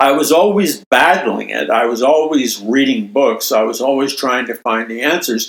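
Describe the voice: The man's medium-pitched voice has a slightly husky edge and lively intonation. He speaks at a moderate pace.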